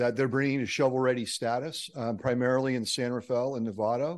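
Over a quiet background, a man with an unremarkable speaking voice talks at a fairly quick pace. His pitch is medium and his intonation fairly even. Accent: General American. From San Francisco Bay Area. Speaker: nonprofit mobility advocate. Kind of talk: public comment.

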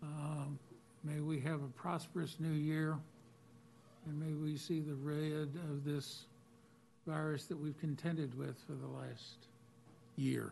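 A man with an American accent, a fairly high pitch and a dark, mellow tone speaks at a fairly slow pace, somewhat breathy, in a monotone, flat intonation with long, frequent pauses. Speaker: board chairman. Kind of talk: chairing public meeting. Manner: formal.

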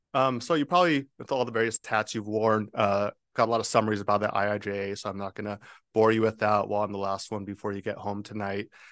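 A man with a fairly low pitch speaks at a very fast pace and with ordinary pitch variation, his voice dry and close with no echo against a quiet background. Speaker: transportation funding consultant. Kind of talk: formal presentation. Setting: public board meeting.

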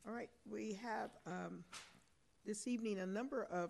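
A woman at a fairly slow pace, with vocal fry and ordinary pitch variation. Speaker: mayor presiding over council meeting. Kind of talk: formal council meeting chairing. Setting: council chamber with audience.

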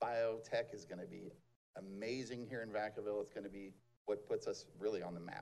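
A man at a fairly quick pace. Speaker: mayor chairing city council meeting. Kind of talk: city council meeting.

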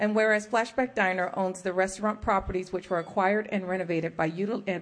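This woman has an unremarkable speaking voice, fairly even intonation and a fairly quick pace. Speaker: county mayor chairing meeting. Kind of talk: public meeting chairing. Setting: council chambers.

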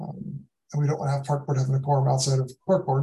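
The voice is somewhat breathy and dark and mellow in tone, delivered at a very fast pace. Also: man. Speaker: city parks deputy director. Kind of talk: public meeting. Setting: video call.

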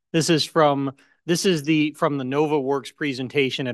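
This man has a plain, everyday voice with ordinary pitch variation and a moderate pace. The sound is dry and close with no echo, and the background is quiet. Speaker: city councilmember. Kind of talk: public meeting.

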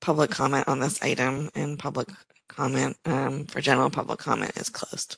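Here is a man with a normal speaking voice and a fairly high pitch. He talks at a moderate pace with fairly even intonation, the sound dry and close with no echo. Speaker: commission staff. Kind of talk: public meeting. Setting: video call.

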